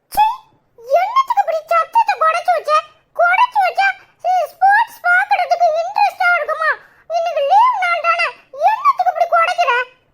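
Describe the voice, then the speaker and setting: In a cartoonish character voice pitched extremely high, the speaker goes at a moderate pace. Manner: loud, excitable.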